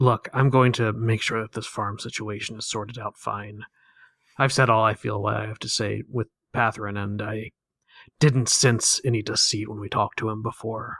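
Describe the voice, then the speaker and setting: A raspy, put-on character voice in a flat monotone at a moderate pace, with big swings in loudness. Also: man, medium pitch for a man. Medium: actual play.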